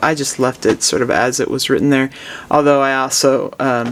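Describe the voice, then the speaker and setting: A man with fairly high pitch and an ordinary speaking voice. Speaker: music professor. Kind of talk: lesson. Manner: relaxed, with frequent fillers.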